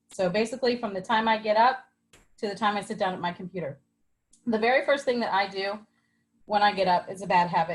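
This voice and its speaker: A woman speaks at a medium pitch and a fairly quick pace, somewhat breathy, with ordinary pitch variation. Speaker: online wellness product presenter. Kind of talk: live group video call presentation. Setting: video call.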